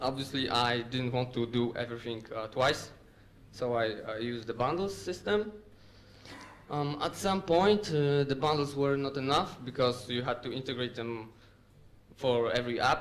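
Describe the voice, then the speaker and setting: With a Polish accent, a man speaks at a moderate pace and medium pitch with ordinary pitch variation, and audible room echo is present. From Poland, Łódź. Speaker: software developer. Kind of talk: conference talk. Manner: hesitant with fillers.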